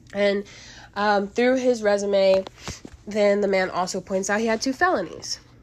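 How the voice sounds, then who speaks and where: Noticeable background noise sits behind a woman with a medium pitch and fairly even intonation. She keeps a moderate pace with long, frequent pauses. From Kentucky, small town. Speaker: podcast host, film reviewer. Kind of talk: solo film review podcast. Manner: casual, many fillers.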